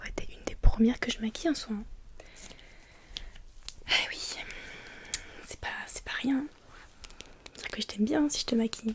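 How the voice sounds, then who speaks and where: Whispering, a woman speaks at a fairly slow pace. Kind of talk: roleplay as a friend applying makeup on the listener.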